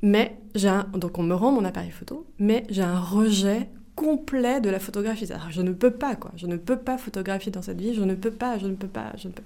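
At a moderate pace and medium pitch, a woman speaks in a dark, mellow tone with ordinary pitch variation and big swings in loudness. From France, Melun (Seine-et-Marne). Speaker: video artist. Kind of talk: interview. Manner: halting, with frequent repetitions and fillers.

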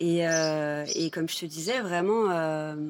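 Fairly low for a woman, her pitch shows ordinary variation. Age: 30s. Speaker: visual artist. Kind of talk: casual chat.

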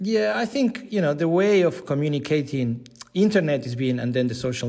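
A man speaking with a Spanish accent. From Argentina, Buenos Aires. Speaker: digital content leader, former sports journalist. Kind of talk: interview.

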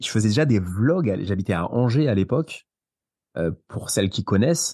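A man speaks at a moderate pace with a fairly low pitch and a dark, mellow tone. His intonation is lively, and the background is quiet. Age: 30s. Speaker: property investor. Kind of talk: interview. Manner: animated.

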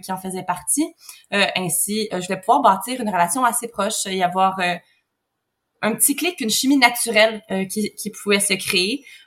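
With a normal speaking voice, a woman keeps a moderate pace and medium pitch, her pitch varying in an ordinary way. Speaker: surrogate mother, egg donor. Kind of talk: interview conversation.

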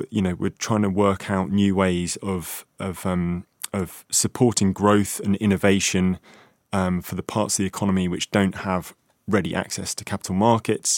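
A man with an unremarkable speaking voice talks at a moderate pace, his pitch fairly low and intonation fairly even. The recording is very clean, with a silent background and a dry, close sound with no echo. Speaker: financial journalist. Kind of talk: panel discussion. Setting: studio.

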